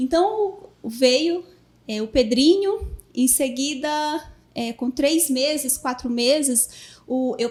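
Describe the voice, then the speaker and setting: In a Paraíba accent, a woman speaks with a high pitch and lively intonation on a very clean recording with a silent background. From Brazil, Paraíba. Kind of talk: podcast interview. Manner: halting, many fillers.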